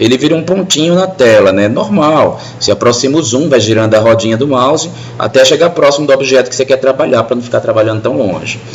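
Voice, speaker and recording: Delivered at a very fast pace, the speech has lively intonation over noticeable background noise. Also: man, medium pitch for a man. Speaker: CAD instructor. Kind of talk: classroom lecture.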